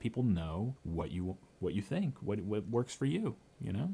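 Animated in tone, a man with a fairly low pitch speaks at a moderate pace with lively intonation. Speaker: podcast host. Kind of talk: interview. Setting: studio. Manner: animated, joking.

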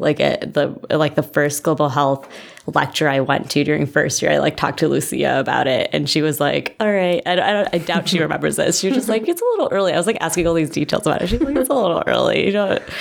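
A woman with an American accent talks at a very fast pace over noticeable background noise. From Illinois, US Midwest. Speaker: medical student. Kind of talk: casual interview.

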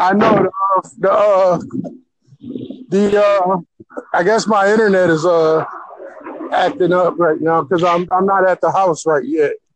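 A man with an American accent speaks at high pitch and a fairly slow pace, with ordinary pitch variation, very even loudness and long, frequent pauses. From Buffalo, upstate New York. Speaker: metaphysics and numerology practitioner. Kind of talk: casual chat. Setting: phone call while walking outdoors. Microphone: choppy connection, sounds robotic.

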